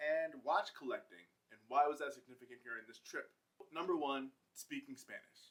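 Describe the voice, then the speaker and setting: This man has a plain, everyday voice. His pitch is fairly high, with ordinary variation. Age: 30s. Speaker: vlogger. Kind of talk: casual vlog monologue. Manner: casual.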